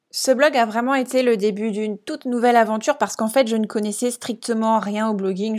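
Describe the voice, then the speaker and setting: The recording is very clean, with a silent background, as a woman speaks at a fairly quick pace. She has an ordinary speaking voice with a fairly high pitch. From France, Alsace. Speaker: podcast host and business coach. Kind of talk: casual solo monologue.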